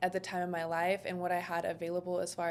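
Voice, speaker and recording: Soft-spoken and monotone, a woman talks in a fairly low pitch with flat intonation. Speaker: short-term rental entrepreneur. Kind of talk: podcast interview.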